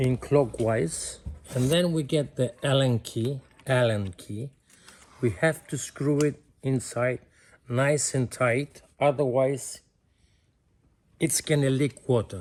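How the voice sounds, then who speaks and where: A man talks at a very slow pace with long, frequent pauses. His voice is somewhat breathy, medium in pitch, with ordinary pitch variation. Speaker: plumber. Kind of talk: DIY repair tutorial instruction. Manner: friendly.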